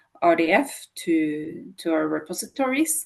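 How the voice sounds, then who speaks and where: A woman is speaking. Her intonation is lively. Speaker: author and data expert. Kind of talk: technical presentation. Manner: hesitant, many fillers.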